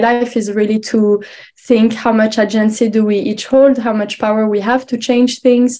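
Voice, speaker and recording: In a French accent, a woman with a fairly high pitch and a dark, mellow tone speaks in a monotone, flat intonation. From France, Paris. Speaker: researcher. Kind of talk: conference presentation. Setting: online symposium. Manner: hesitant, many fillers.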